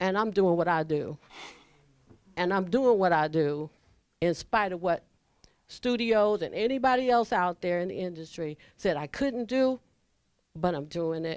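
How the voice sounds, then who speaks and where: Lively intonation runs through fairly slow speech broken by long, frequent pauses. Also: woman, medium pitch for a woman. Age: 60s. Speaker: casting director. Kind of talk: audience comment at panel.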